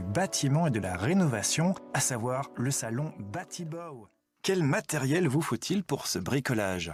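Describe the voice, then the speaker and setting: A man's medium-pitched voice at a fairly slow pace, with very wide pitch swings and music in the background. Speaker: voice-over artist. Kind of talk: TV program voice-over narration.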